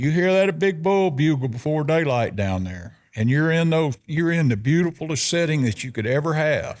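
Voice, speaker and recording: A man's fairly high voice in a Southern US accent, fairly slow and full of very wide pitch swings, on a very clean recording with a silent background. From US South (South Arkansas). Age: 70s. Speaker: elk hunter. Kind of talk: casual chat.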